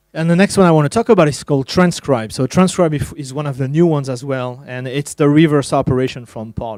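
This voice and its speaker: Using ordinary pitch variation, a man speaks at a fairly high pitch with a French accent. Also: dry, close sound with no echo. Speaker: tech evangelist. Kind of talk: conference talk. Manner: halting, many fillers.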